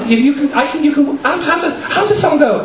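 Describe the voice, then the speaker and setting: A man speaks over noticeable background noise. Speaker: performance poet; drag performer. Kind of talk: live stage banter between poems. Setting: live venue.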